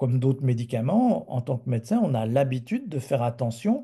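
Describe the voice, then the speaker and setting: Over a quiet background, a man talks in a somewhat breathy voice with a dark, mellow tone and ordinary pitch variation. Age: 60s. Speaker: physician presenter. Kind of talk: webinar presentation.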